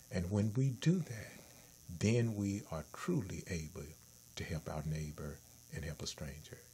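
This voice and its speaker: Slowly and with long, frequent pauses, a man speaks in a very deep, low, somewhat breathy voice that swings very widely in pitch. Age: 60s. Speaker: talk show host. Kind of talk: casual chat.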